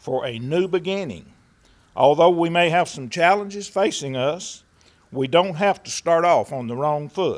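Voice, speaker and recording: A high-voiced man with an Appalachian accent, at a moderate pace with ordinary pitch variation. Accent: Appalachian Kentucky. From Jackson County, Kentucky. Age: 60s. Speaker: magistrate candidate. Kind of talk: prepared campaign speech.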